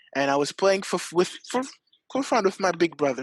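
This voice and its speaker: A man with a French accent is heard dry and close, with no echo, against a quiet background. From South Africa. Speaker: esports athlete. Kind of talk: interview.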